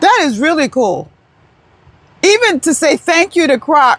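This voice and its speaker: The speaker has an American accent and talks loudly at a fairly slow pace. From New York. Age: 70s. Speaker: retired vlogger. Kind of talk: casual vlog talk. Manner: rambling, halting.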